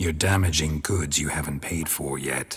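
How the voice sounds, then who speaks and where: In a put-on character voice, a man growls at a very deep, low pitch and a moderate pace. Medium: machinima. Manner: terse, deadpan.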